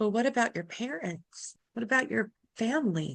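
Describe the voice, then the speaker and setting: A female-sounding, put-on character voice comes across shaky and fairly high in pitch. The pace is moderate. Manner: timid, uncertain.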